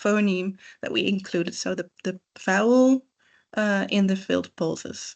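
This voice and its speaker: A woman with a Dutch accent speaks at a medium pitch with fairly even intonation. The background is quiet. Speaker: PhD researcher in forensic phonetics. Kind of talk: lecture. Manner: hesitant, many filled pauses.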